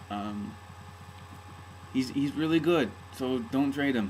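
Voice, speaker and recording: Noticeable background noise sits behind a man's voice. He speaks at a fairly slow pace with ordinary pitch variation. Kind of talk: casual talk to camera. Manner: hesitant, rambling.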